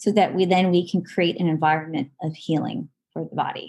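With an American accent, a woman speaks at a moderate pace, her fairly low voice somewhat breathy and dark, mellow in tone. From Southern California. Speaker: nurse practitioner and holistic health practitioner. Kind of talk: casual interview chat.

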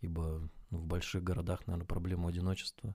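A man talks at a fairly quick clip in a very deep, low pitch, somewhat breathy. The recording is very clean with a silent background. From Russia, rural village. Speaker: podcast co-host. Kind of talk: casual chat. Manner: halting.

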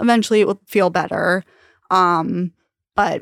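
In a very clean, dry, close recording with no echo and a silent background, a woman with an American accent speaks at a fairly low pitch with vocal fry. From Long Island, New York. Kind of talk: casual interview.

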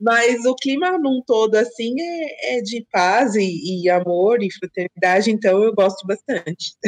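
In a normal speaking voice, a woman talks at a fairly slow pace with hardly any pauses, a fairly high pitch and lively intonation, the sound dry and close with no echo. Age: 30s. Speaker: guest, friend of host. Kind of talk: casual chat.

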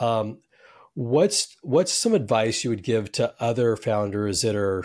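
In a plain, everyday voice with an American accent, a man speaks at a fairly low pitch with ordinary pitch variation on a very clean recording with a silent background. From US West Coast. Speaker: podcast host. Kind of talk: interview.

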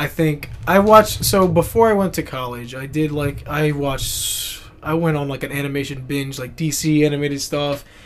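This man has an unremarkable speaking voice, fairly high in pitch, with ordinary pitch variation. He talks at a moderate pace with hardly any pauses. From United States. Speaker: podcast co-host, animation student. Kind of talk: casual chat.

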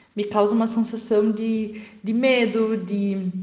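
A woman with a fairly high pitch speaks very slowly, with audible room echo and noticeable background noise. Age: 20s. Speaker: law lecturer. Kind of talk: recorded voice message.

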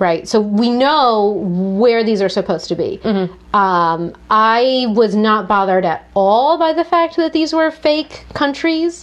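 A woman's animated, fairly high voice with very wide pitch swings, very even loudness, a fairly slow pace and hardly any pauses. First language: French. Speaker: book podcast co-host. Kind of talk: casual chat. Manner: animated, laughs often.

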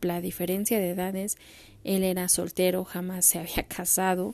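A dark, mellow tone comes with a Mexican accent. The pace is fairly slow. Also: woman. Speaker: podcaster. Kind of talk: personal storytelling monologue.

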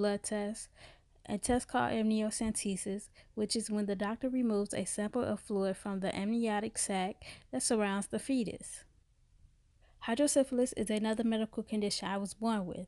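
Against a quiet background, a woman in an American accent talks at a moderate pace with a dark, mellow, fairly high voice and fairly even intonation. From US Midwest, Chicago South Side. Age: 20s. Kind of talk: scripted narration.

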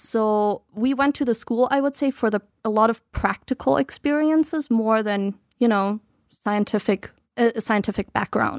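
A woman with a German accent speaks at a moderate pace in a fairly high pitch. The recording is very clean, dry and close, with no echo and a silent background. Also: ordinary pitch variation. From Germany, eastern Baltic coast; raised partly in the US. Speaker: podcast guest. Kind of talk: casual chat.

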